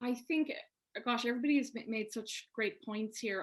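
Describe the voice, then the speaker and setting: Speaking at a moderate pace with an Irish accent, a woman shows ordinary pitch variation. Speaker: publisher. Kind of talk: panel discussion.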